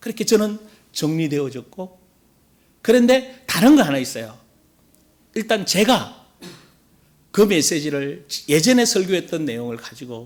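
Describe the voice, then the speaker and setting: A high-pitched man at a fairly slow pace, with very wide pitch swings, big swings in loudness, and long, frequent pauses. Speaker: pastor. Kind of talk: sermon.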